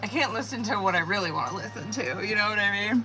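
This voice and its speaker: Music plays in the background. The speaker has a Montana accent. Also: woman. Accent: slow Montana. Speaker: tarot reader. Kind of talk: casual livestream chat. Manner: slow; casual, swearing slang.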